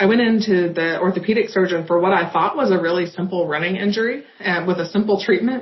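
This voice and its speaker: A woman speaks in a fairly low, somewhat breathy voice with ordinary pitch variation. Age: 30s. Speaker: patient. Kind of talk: testimony.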